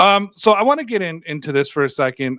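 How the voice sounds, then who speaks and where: Lively in intonation and fairly quick in pace, a man with an unremarkable speaking voice sounds dry and close, with no echo. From Canada, Toronto. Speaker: podcast host. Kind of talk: casual interview.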